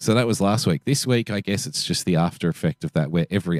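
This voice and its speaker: A man with an Australian accent, very fast delivery, vocal fry, and a dry, close sound with no echo. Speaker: podcast co-host. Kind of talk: casual chat.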